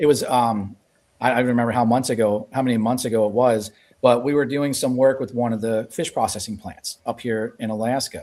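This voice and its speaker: A man's medium-pitched voice with a dark, mellow tone, monotone, flat intonation and a fairly quick pace, on a very clean recording with a silent background. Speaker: lean consultant. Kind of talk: casual chat. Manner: loud.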